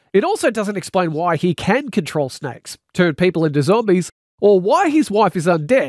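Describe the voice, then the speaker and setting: In an Australian accent, a man speaks at a fairly quick pace with a high pitch and very wide pitch swings. The sound is dry and close, with no echo. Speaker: radio presenter and author. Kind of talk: reading aloud.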